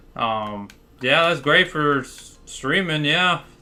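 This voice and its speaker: A man speaks with music in the background. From Florida, US. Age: 20s. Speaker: gaming streamer. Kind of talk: casual livestream chat. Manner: casual, filler-heavy.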